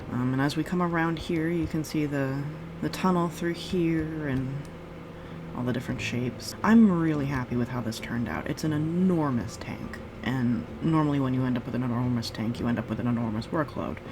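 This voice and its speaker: Soft-spoken and relaxed, a woman with a very deep, low voice talks at a fairly quick pace with lively intonation, amid audible room echo and noticeable background noise. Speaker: gaming video creator. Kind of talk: gameplay commentary.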